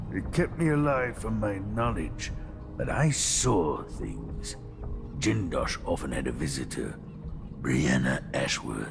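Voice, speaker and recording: Over loud background noise, a man puts on a character voice. He speaks at a fairly slow pace. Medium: video game.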